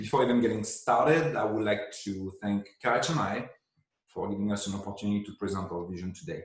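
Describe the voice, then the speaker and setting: Speaking at a very fast pace, a man with a non-native accent has a fairly low pitch and ordinary pitch variation. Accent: foreign accent in English. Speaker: head of design at a tech company. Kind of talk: pre-recorded presentation. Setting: remote video with screen share.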